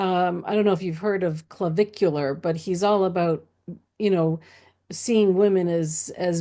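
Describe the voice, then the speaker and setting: The woman's voice is fairly low in pitch with a dark, mellow tone. She goes at a fairly slow pace with fairly even intonation. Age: 60s. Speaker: transformational coach. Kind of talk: casual chat.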